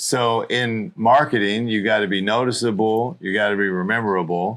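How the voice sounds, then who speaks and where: A man speaks at a moderate pace against a quiet background. His pitch is fairly low, with ordinary variation. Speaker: entrepreneur. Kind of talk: casual interview chat. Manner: loud.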